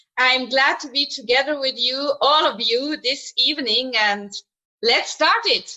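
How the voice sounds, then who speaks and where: A woman's high, raised, projected voice in a Swiss German accent, with a fairly slow pace, very even loudness and ordinary pitch variation. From Switzerland, German-speaking. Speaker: show jumper. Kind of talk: remote interview.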